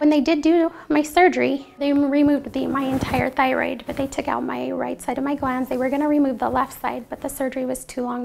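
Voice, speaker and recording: A woman talks fairly quickly while noticeable background noise sits underneath. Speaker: patient and college student. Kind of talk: testimony. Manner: halting.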